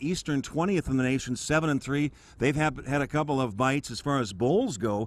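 A man with an American accent at a fairly quick pace, ordinary pitch variation, dry sound with no echo. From Arizona, USA. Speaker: play-by-play sports announcer. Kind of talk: televised game opening, introducing the matchup. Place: stadium. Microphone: handheld.

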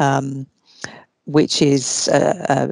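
A woman with a British accent speaks at a very deep, low pitch, the sound dry with no echo and the background quiet. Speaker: law researcher. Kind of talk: lecture. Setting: video call. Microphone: video call.

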